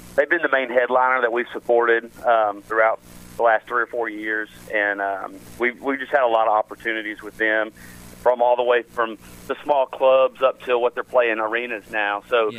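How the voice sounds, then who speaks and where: With a Tennessee accent, a man speaks with fairly even intonation. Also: medium pitch for a man, moderate pace. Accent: Southern US (Tennessee). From West Tennessee. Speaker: country singer. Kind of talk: radio interview. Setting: phone call.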